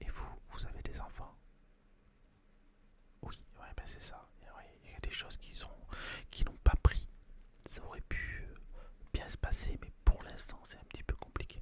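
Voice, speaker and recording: Whispering with a calm, gentle tone, a man speaks at a fairly slow pace with long, frequent pauses and big swings in loudness. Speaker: ASMR roleplay performer playing a fortune-teller tarot reader. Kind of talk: ASMR roleplay, tarot reading consultation with a client. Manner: calm, gentle, conversational.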